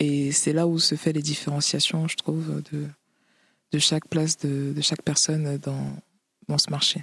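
Long, frequent pauses break up a woman's fairly slow delivery. Her very deep, low pitch stays monotone and flat. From Cameroon, then Paris region (93). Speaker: author, rapper and DJ. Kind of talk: interview. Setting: remote duplex link. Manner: halting, frequent repetitions.

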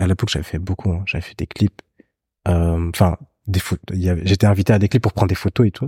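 Very fast and in a very deep, low, somewhat breathy voice with a dark, mellow tone, a man speaks with fairly even intonation, recorded with a dry, close sound, no echo and a very clean, silent background. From Belgium. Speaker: photographer. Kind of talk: casual chat.

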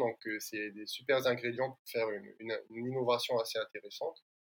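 Delivery is fairly quick. The intonation is monotone and flat. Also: man. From French Polynesia. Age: 30s. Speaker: environmental start-up founder. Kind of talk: interview.

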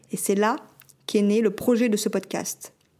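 A woman speaks at a moderate pace and fairly high pitch. It is an ordinary speaking voice. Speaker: podcast host and short-term rental concierge business owner. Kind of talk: scripted narration.

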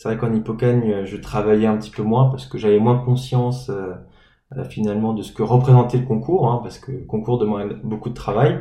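Dark and mellow in tone, a man speaks fairly quickly, somewhat breathy, with big swings in loudness, ordinary pitch variation and audible room echo. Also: medium pitch for a man, hardly any pauses. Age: 20s. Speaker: former preparatory class student. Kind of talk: interview. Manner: hesitant.

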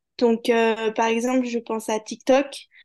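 A woman speaks at a fairly high pitch and a fairly slow pace, in a plain, everyday voice. The background is quiet. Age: 20s. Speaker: digital marketing manager and ad buyer. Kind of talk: podcast interview. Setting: video-recorded interview.

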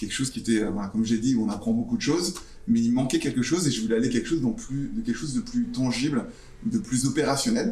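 A man's very fast, somewhat breathy delivery, dark and mellow in tone, fairly high in pitch for a man, with very wide pitch swings. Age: 40s. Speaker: startup founder. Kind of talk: interview with school students.

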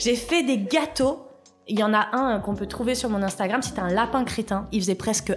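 A woman talks at a moderate pace. Background music is playing throughout. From Paris suburbs, France. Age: 30s. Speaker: TV pastry contestant and food business coach. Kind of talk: interview. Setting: studio.

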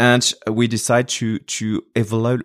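A man with a French accent is heard in a dry, close sound with no echo on a very clean recording with a silent background. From France. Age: 40s. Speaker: nonprofit fundraising executive. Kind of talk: podcast interview. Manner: halting, with frequent fillers and repetitions.

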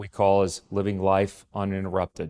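A man with a very deep, low pitch speaks at a moderate pace. The sound is dry and close with no echo, on a very clean recording with a silent background. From Texas. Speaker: solar company executive. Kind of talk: interview. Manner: hesitant, many fillers.

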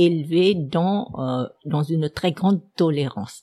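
With a Vietnamese accent, a woman speaks at a fairly low pitch with ordinary pitch variation in a very clean recording with a silent background. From Vietnam, Saigon. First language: Vietnamese (speaking French). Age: 70s. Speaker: historian. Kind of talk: personal life story. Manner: hesitant with many fillers.

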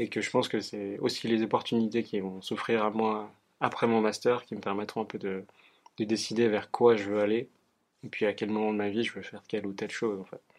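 Against a quiet background, a man talks at a fairly quick pace with a fairly low pitch and monotone, flat intonation. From Geneva area, France-Switzerland border (Annemasse). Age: 20s. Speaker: psychology student and research assistant. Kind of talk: interview. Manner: halting, many fillers.

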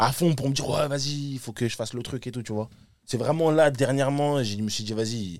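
Using a plain, everyday voice at a medium pitch, a man speaks at a fairly quick pace. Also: ordinary pitch variation. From Paris suburbs, Île-de-France. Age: 20s. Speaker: rapper. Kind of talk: casual chat.

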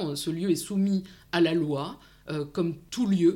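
A woman with a fairly low pitch speaks at a fairly slow pace with fairly even intonation in an ordinary speaking voice. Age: 40s. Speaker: psychologist and psychoanalyst, online video creator. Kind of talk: interview about personal career.

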